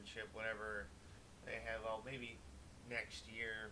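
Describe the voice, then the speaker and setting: A man speaks in a Wisconsin accent at a fairly slow pace. Audible room echo surrounds his voice. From US Midwest, Wisconsin. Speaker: gaming streamer. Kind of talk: casual live-stream chat. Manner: casual, hesitant with fillers.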